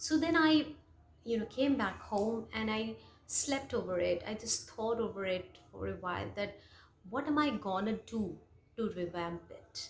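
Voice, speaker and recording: A woman speaks in a fairly high voice with a Bengali accent. Her intonation is lively. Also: fairly slow pace. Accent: Indian English, Bengali. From India, West Bengal. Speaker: English teacher, YouTuber. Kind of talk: personal story monologue. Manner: hesitant, many fillers.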